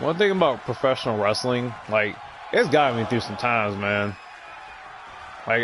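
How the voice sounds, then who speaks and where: The tone is relaxed. There is audible room echo and noticeable background noise. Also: man. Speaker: video game commentator. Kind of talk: casual gameplay commentary. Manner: relaxed, chill; stuttering.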